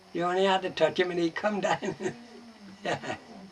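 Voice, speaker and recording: A man with a high pitch keeps a moderate pace as noticeable background noise plays behind him. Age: 80s+. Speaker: bellringer. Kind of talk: oral history interview. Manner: casual, conversational.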